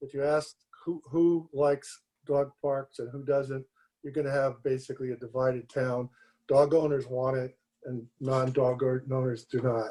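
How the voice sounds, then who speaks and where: Medium-pitched male voice, dark and mellow in tone, with monotone, flat intonation. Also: moderate pace. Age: 70s. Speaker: public commenter at city commission meeting. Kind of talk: public comment.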